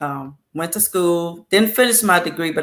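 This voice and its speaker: This woman's voice has a bright, sharp tone and a fairly low pitch. She speaks at a fairly quick pace with ordinary pitch variation. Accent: Louisiana. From US South, South Louisiana. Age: 60s. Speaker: talk show guest. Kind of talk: casual chat.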